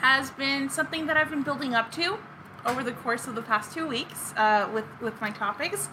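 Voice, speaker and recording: Over noticeable background noise, a woman with a high-pitched voice speaks at a moderate pace in a raised, projected voice. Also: lively intonation. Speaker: podcast co-host. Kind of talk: casual chat with scripted story segments.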